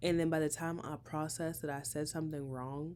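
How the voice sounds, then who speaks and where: This woman's voice is very deep and low in pitch, with fairly even intonation. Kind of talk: casual aside to viewers.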